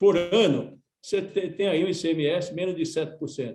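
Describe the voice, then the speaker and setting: A man speaks in a high pitch with lively intonation. His tone is dark and mellow. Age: 70s. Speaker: union leader and former politician. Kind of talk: radio panel discussion. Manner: halting, many repetitions.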